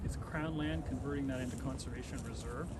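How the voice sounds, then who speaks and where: A man with a Canadian accent, plus noticeable background noise and audible room echo. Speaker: conservation organization executive. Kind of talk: outdoor public announcement speech. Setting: outdoors in snow.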